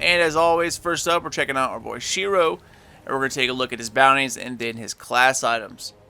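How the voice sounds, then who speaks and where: Fairly quick speech over music in the background. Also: man. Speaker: gaming YouTuber. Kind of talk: game tutorial walkthrough. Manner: halting, stumbles over words.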